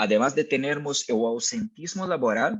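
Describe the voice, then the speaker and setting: A man with a Brazilian accent speaks with very wide pitch swings. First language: Portuguese (speaking Spanish). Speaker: mental health company speaker. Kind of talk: webinar presentation. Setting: online webinar. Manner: hesitant, frequent fillers.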